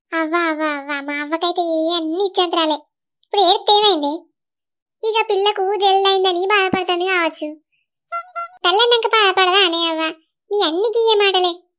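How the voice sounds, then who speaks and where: A woman's put-on character voice, extremely high-pitched, with ordinary pitch variation, a moderate pace and music in the background. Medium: comedy sketch. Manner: blunt, scolding.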